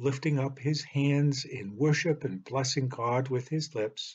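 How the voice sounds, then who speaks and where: The man speaks at a very slow pace, somewhat breathy. His pitch shows ordinary variation. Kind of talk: sermon. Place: home room. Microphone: webcam.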